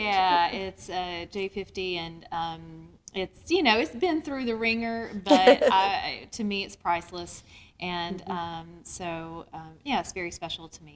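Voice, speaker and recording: In a Southern US accent, a woman talks at a fairly slow pace and medium pitch, with ordinary pitch variation and big swings in loudness, on a very clean recording with a silent background. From North Georgia, US. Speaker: singer-songwriter. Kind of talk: interview answer.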